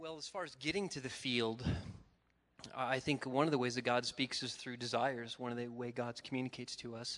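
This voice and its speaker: A man talks at a fairly quick pace. He has a plain, everyday voice. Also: medium pitch for a man. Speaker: missionary trainer. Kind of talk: casual chat.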